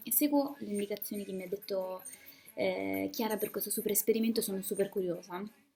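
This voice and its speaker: Music plays in the background as a woman talks at a fairly quick pace. Her medium pitch holds fairly even intonation. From Umbria, Terni. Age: 20s. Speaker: student and radio speaker. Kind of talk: casual video testimony.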